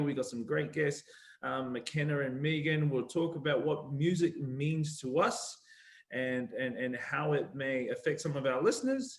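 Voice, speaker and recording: A man's somewhat breathy, fairly high voice with a New Zealand accent, at a moderate pace with ordinary pitch variation. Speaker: panel host, rugby player and board member. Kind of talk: online panel discussion.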